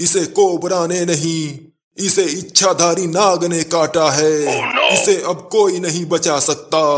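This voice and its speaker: A man puts on a gruff character voice pitched high. He delivers it at a fairly slow pace. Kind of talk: comic cartoon dubbing. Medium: cartoon. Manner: gruff, insulting, ominous.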